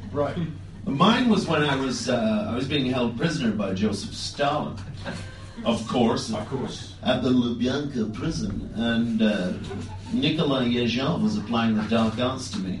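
Over music in the background and with audible room echo, a man speaks at a fairly slow pace in a medium pitch with ordinary pitch variation. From Canada. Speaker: comedian. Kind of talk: comedic casual chat.

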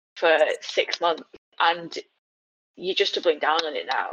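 At a fairly slow pace, a woman speaks with a British accent. The sound is dry and close, with no echo. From England. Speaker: podcast guest, transracial adoptee advocate. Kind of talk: casual chat.

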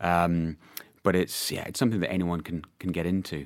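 With a Scottish accent, a man speaks in a very deep, low, monotone voice at a moderate pace, in a very clean recording with a silent background. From Scotland. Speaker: PR agency owner. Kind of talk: casual chat. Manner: halting, many fillers and repetitions.

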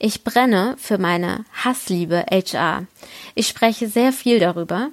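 A woman speaks very slowly at a medium pitch with ordinary pitch variation, in a dry, close sound with no echo on a very clean recording with a silent background. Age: 30s. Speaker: HR professional. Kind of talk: recorded statement.

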